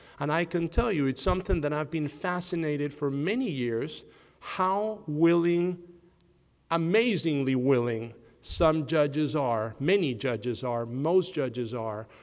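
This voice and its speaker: This man, with a non-native accent, talks at a fairly slow pace in a fairly high pitch with lively intonation. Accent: noticeable foreign. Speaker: criminal defense lawyer. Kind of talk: panel discussion.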